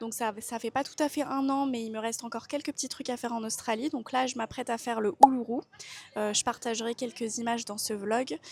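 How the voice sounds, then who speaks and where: Fairly quick and fairly high in pitch, a woman talks with fairly even intonation in a plain, everyday voice. The sound is dry and close with no echo. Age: 20s. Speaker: travel vlogger. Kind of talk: casual vlog monologue. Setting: airport.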